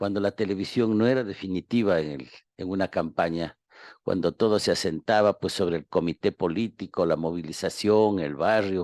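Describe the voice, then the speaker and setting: A man's very deep, low voice at a moderate pace, with ordinary pitch variation over a quiet background. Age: 70s. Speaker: historian and professor. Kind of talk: radio interview. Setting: radio studio. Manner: hesitant with fillers.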